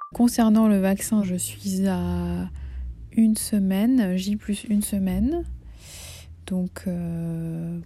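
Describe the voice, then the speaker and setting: A woman speaks at a very slow pace. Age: 30s. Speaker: video diarist with breast cancer. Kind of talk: personal video diary.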